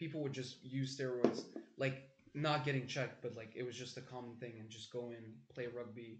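At a moderate pace, a man with a medium pitch speaks in a monotone, flat intonation, somewhat breathy, with big swings in loudness. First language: French. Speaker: podcast guest, medical student. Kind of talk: casual chat.

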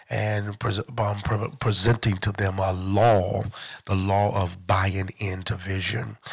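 A man with a fairly low pitch speaks at a very slow pace. His voice is somewhat breathy, with fairly even intonation. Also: very clean recording, silent background. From Detroit, Michigan. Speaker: church overseer. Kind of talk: religious talk. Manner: halting.

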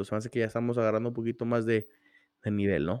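Recorded very cleanly against a silent background, a man speaks at medium pitch with a dry, close sound and no echo. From Torreón, northern Mexico. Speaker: football podcast host. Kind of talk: casual football chat.

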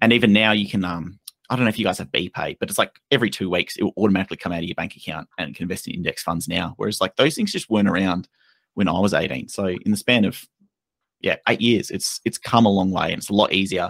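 A man with an Australian accent talks very fast at a fairly low pitch, his pitch moving in an ordinary way. The recording is very clean and dry, close-miked with no echo and a silent background. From Western Australia. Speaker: investment content creator. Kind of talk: casual chat.

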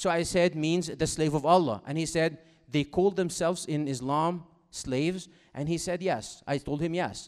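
Over a quiet background, a man with an Egyptian accent speaks at a moderate pace, with a fairly high pitch and fairly even intonation. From Egypt, Cairo. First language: Arabic. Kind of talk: talk to school audience. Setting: stage with audience. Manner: interactive, engaging.

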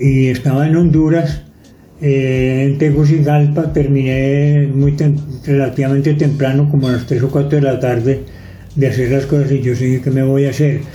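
With audible room echo, a man speaks in a fairly high pitch, somewhat breathy, with a dark, mellow tone. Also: moderate pace. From Antioquia, Colombia. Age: 80s+. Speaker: retired photographer. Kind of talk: life story interview. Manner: halting, with fillers and restarts.

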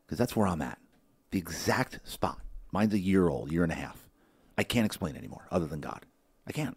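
Very deep, low pitch from a man with vocal fry, animated and lively in intonation, a very fast pace, big swings in loudness and long, frequent pauses. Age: 50s. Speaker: podcast host. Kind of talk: casual interview. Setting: studio.

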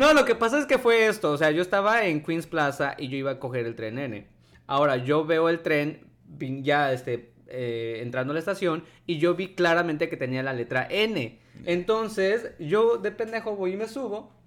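At a moderate pace, the speech moves through very wide pitch swings in a very clean recording with a silent background. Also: man, high pitch for a man. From Mexico. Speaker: podcast co-host. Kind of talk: casual chat.

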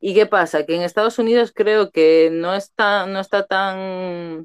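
Very slowly, a woman speaks with ordinary pitch variation. The sound is dry and close, with no echo. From Canary Islands, Spain. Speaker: podcast co-host. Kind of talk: casual chat.

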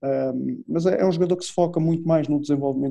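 A man with a European Portuguese accent, a dark, mellow tone, fairly even intonation, and a moderate pace. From Portugal. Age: 40s. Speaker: football coach. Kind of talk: interview. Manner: halting.

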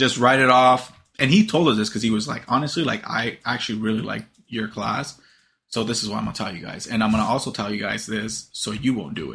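A man talks at a very fast pace with medium pitch and ordinary pitch variation. His tone is bright and sharp, with vocal fry. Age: 20s. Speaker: podcast host. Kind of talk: casual chat.

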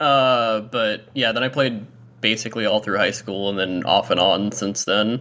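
Over a very clean recording with a silent background, a man with an American accent uses an unremarkable speaking voice, a fairly low pitch, fairly even intonation and a moderate pace. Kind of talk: casual chat. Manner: casual, filler-heavy.

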